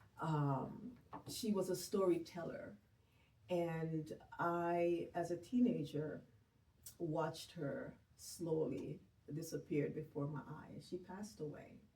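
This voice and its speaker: A woman with a Jamaican accent, very slow pace, long, frequent pauses and ordinary pitch variation. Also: fairly low pitch for a woman. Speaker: grief and bereavement counselor. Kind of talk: interview conversation.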